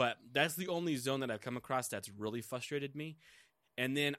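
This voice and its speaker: A man talks in a normal speaking voice at a fairly quick pace. His pitch varies in an ordinary way in a very clean recording with a silent background. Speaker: gaming podcast co-host. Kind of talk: casual chat.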